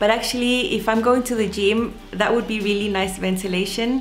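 With light background noise behind her, a woman speaks at a moderate pace with fairly even intonation. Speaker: sewing vlogger. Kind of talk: casual vlog chat. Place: home room. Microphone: webcam.

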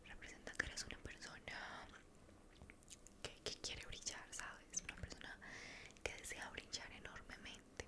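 The speaker is soft-spoken and talks at a fairly slow pace. Loud background noise is present. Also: woman. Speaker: ASMR roleplay host. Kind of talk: roleplay monologue, soft-spoken. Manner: soft, close-mic ASMR speech. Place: home room. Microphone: studio mic.

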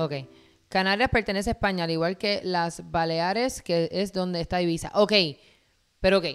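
Over music in the background, a woman of medium pitch speaks at a moderate pace with fairly even intonation and long, frequent pauses. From Puerto Rico, Guaynabo and Caguas. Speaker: reaction channel co-host. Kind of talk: casual live-stream chat. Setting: live stream.

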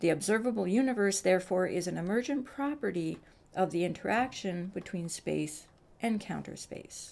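This is a normal speaking voice. It moves at a moderate pace. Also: woman, medium pitch for a woman. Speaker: science video creator. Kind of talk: explainer narration.

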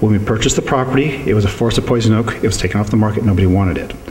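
The recording carries light background noise along with audible room echo. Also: man. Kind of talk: interview answer. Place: shop. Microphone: handheld.

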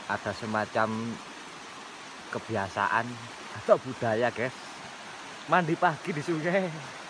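A man speaks with lively intonation. The sound is dry with no echo, though noticeable background noise is present. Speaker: vlogger. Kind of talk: casual vlog chat. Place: waterside. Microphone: phone near.

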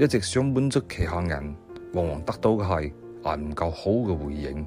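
A man with a Siyi accent and lively intonation, music playing in the background. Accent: Siyi Cantonese. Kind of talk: inspirational quote reading.

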